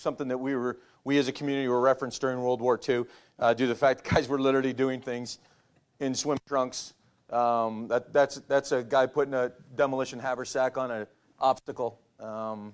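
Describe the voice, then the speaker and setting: A man with a medium pitch speaks at a fairly quick pace in a monotone, flat intonation, on a very clean recording with a silent background. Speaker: navy officer. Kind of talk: lecture.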